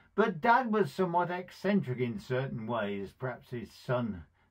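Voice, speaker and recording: Over a quiet background, a man's somewhat breathy voice moves through very wide pitch swings. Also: moderate pace. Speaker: speaker. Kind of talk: devotional talk with personal story. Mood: warm, fond storytelling. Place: home room. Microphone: phone near.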